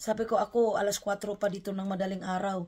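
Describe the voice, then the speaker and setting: In a somewhat breathy, medium-pitched voice, a woman talks fairly quickly with monotone, flat intonation. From Philippines. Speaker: vlogger. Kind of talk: unboxing vlog.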